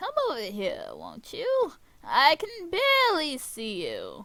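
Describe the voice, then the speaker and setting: Using a put-on character voice, a woman speaks at a fairly slow pace and an extremely high pitch. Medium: solo performance. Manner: falsely sweet, sly.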